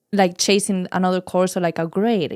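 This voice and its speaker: In a dry, close sound with no echo, a woman with a Spanish accent speaks at a moderate pace and a fairly low pitch. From Spain, Madrid. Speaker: wellness charity co-founder. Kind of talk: podcast interview.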